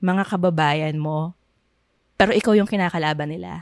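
Dry and close, with no echo, the sound carries a woman's speech. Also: very clean recording, silent background. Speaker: podcast co-host. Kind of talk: casual chat.

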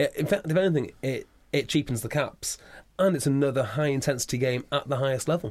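Talking at a very fast pace, a man with a Welsh accent has a fairly high pitch and ordinary pitch variation. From Wales. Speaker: rugby podcast host. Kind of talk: casual interview. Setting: studio.

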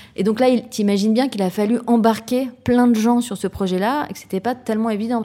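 Ordinary pitch variation runs through a woman's voice. She talks at a fairly quick pace. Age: 40s. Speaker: social entrepreneur. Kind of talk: interview. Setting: office. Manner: halting, with frequent fillers.

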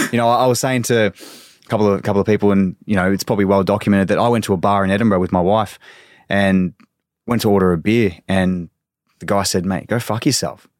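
Very fast speech in an Australian accent. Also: man, very clean recording, silent background. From Australia, Victoria (Sunbury). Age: 20s. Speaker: professional soccer player. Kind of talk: casual interview chat.

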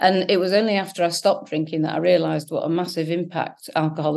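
A woman with an English accent talks at a very fast pace. Her fairly low voice carries vocal fry and fairly even intonation. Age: 40s. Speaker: founder of a sobriety support website. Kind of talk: interview.

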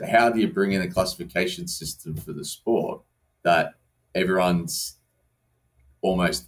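Speaking at a moderate pace in an Australian accent, a man pauses long and often, his loudness swinging widely. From Australia, southwest Sydney. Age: 30s. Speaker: wheelchair rugby league captain. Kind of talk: casual chat. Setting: studio.

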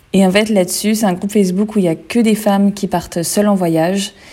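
A woman's dark, mellow voice in a flat monotone. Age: 20s. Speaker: travel blogger. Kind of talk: casual chat.

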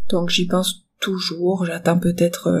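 A woman's medium-pitched, somewhat breathy voice. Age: 30s. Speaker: bereaved mother sharing her story. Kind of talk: personal testimony. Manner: hesitant with frequent fillers.

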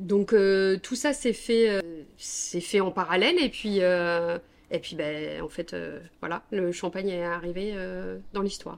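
At a very slow pace and a medium pitch, a woman speaks in a very clean recording with a silent background. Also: ordinary pitch variation. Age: 40s. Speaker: soap maker. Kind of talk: interview. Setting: at her home. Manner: hesitant, many fillers.

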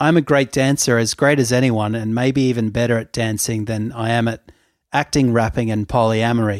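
On a very clean recording with a silent background, a man with an ordinary speaking voice talks at a moderate pace and medium pitch, with fairly even intonation. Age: 30s. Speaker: podcast co-host. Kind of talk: casual chat.

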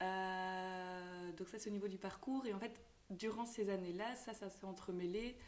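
A woman speaks at a fairly slow pace in a medium pitch. Her intonation is fairly even, and audible room echo surrounds her voice. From Belgium, Tournai. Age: 20s. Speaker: shop owner. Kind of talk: interview.

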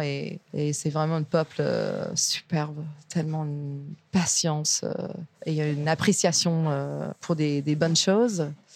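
Very slow speech from a woman with a very deep, low pitch. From US, Virginia. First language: English (speaking French). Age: 30s. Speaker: chef and restaurant owner. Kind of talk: interview. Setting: restaurant kitchen.

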